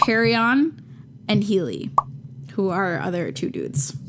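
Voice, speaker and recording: Noticeable background noise sits behind a voice that makes very wide pitch swings. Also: woman. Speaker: podcast co-host. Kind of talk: casual chat. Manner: animated.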